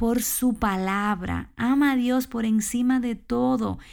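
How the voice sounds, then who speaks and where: A woman with a high-pitched voice speaks at a very slow pace. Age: 30s. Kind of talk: devotional talk. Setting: small room at home.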